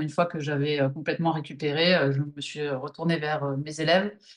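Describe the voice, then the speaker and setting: Fairly even intonation at a moderate pace from a normal speaking voice. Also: woman. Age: 40s. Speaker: movement teacher. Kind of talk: interview.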